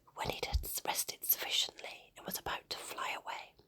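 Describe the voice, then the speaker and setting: A woman is whispering. Her pace is moderate. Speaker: ASMR storyteller. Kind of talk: ASMR bedtime story reading. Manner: whispered, soft.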